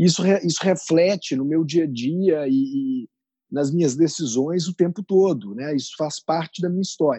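The voice is an unremarkable speaking voice at a moderate pace. Its pitch varies in an ordinary way. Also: man, fairly high pitch for a man. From Brazil, Minas Gerais and São Paulo interior. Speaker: entrepreneur. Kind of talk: interview.

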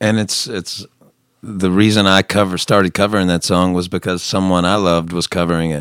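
With a Southern US accent, a man speaks at a fairly quick pace in a very deep, low pitch and a monotone, flat intonation. The recording is very clean, with a silent background. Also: dry, close sound with no echo. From US South. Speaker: singer-songwriter. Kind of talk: casual chat.

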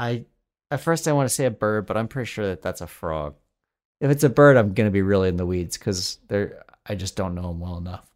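A man with an American accent speaks at a fairly quick pace in an unremarkable speaking voice, his fairly low pitch carried by lively intonation on a very clean recording with a silent background. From Colorado. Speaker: comedy writer and podcast co-host. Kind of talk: casual chat.

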